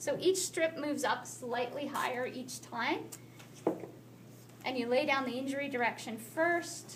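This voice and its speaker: A woman speaks at a high pitch and a fairly slow pace, with ordinary pitch variation. Long, frequent pauses break up her speech, and there is noticeable background noise and audible room echo. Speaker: athletic therapy instructor. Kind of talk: classroom taping demonstration.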